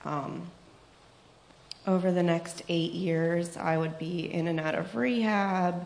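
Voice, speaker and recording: In a room with audible echo and noticeable background noise, a woman talks at a fairly slow pace in a very deep, low pitch. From Pittsburgh, US. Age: 20s. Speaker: recovering addict giving testimony. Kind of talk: testimony. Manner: hesitant, many fillers.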